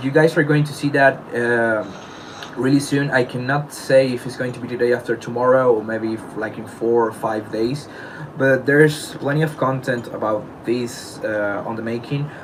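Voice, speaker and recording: A man of medium pitch speaks with a non-native accent at a moderate pace. His intonation stays fairly even amid noticeable background noise. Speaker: beatboxer. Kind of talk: personal statement addressing allegations. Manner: halting.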